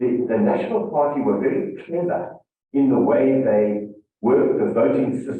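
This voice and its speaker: With audible room echo, a man talks at a moderate pace and a medium pitch, his intonation lively. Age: 50s. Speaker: former presidential security chief, speaker. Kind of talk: interview on stage.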